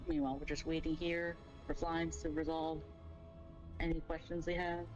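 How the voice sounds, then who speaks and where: Someone talks at a fairly quick pace with an American accent. Music plays in the background. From New York. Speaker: streamer. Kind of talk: game raid calling. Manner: fast.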